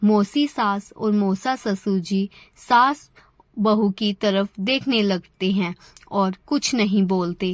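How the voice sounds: A woman talks slowly with few pauses, at a medium pitch and with ordinary pitch variation.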